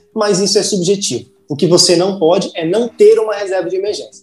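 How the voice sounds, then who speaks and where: The man moves along at a fairly quick pace, his pitch varying in an ordinary way. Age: 20s. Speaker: finance content creator. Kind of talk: casual interview.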